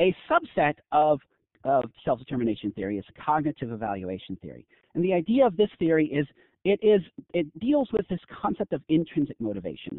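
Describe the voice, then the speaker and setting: A man's fairly high voice at a fairly quick pace, with very wide pitch swings. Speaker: professor. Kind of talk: lecture. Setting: online conference webinar. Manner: fast.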